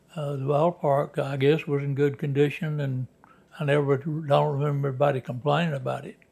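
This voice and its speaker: With a Southern US accent, a man talks fairly quickly at a fairly high pitch. His intonation is monotone and flat, and his voice is somewhat breathy. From Alabama. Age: 90s. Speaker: former minor league baseball player. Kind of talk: interview. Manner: halting.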